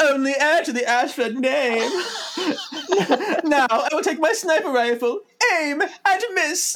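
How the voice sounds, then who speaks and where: A put-on character voice, high and squeaky with a theatrical tone, moves at a fairly slow pace with long, frequent pauses. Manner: haughty, theatrical.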